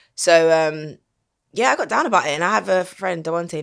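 Recorded very cleanly against a silent background, a woman with a South London accent speaks with fairly even intonation. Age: 30s. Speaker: singer. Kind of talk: casual chat.

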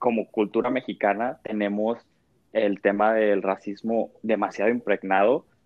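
Here a man talks at a fairly slow pace with a fairly low pitch. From Mexico. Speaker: podcast panelist. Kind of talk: casual chat.

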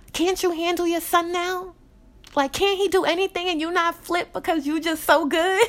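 With an American accent, a woman speaks at an extremely high pitch. Her pace is moderate and her intonation monotone and flat. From Jamaican family, New York. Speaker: podcast host. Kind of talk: solo personal podcast monologue.

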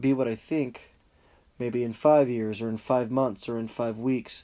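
A man with an American accent, medium pitch, a dark, mellow tone and a moderate pace. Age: young. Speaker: podcaster. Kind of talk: solo podcast monologue.

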